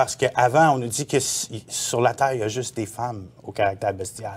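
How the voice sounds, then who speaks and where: The speaker is a man with ordinary pitch variation. His pace is moderate. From Quebec. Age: 40s. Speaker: former sect member; interview guest. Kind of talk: testimony; interview answer. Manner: halting. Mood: earnest, recounting personal past. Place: studio.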